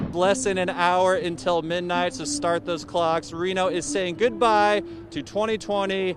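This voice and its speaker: A man with an American accent speaks at a high pitch. Noticeable background noise sits behind him. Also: ordinary pitch variation, fairly slow pace. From Colorado. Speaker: TV news reporter and anchor. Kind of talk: TV news reporting.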